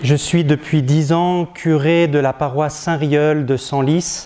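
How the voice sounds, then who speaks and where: A man's fairly high-pitched voice, monotone and flat, at a very slow pace and very even loudness. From northern France, Picardy. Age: 40s. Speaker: parish priest. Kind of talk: testimony. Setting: diocesan gathering before an audience. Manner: hesitant, many filler sounds.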